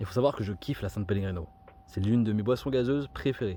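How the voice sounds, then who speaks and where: The speaker is a man. His tone is animated. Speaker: food youtuber. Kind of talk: casual vlog. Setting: outdoors by his car.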